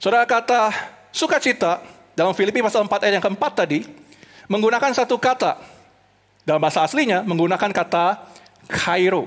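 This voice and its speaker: A man speaks in an animated tone at a fairly quick pace, with long, frequent pauses. The background is quiet. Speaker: preacher. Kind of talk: sermon delivered online to a church congregation. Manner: animated, earnest preaching that switches between Indonesian and English; rhetorical questions and repeated emphasis. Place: stage. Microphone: headset.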